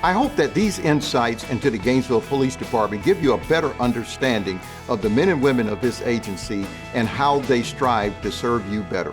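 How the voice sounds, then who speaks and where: Music plays in the background as a man speaks. His pitch is medium and his intonation lively. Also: fairly quick pace. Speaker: police chief. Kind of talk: interview answer.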